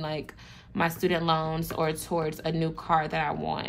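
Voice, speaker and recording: A woman talks at a fairly slow pace in a very deep, low pitch. Audible room echo surrounds her voice. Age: 20s. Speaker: budgeting vlogger. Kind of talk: tutorial. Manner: casual, with fillers.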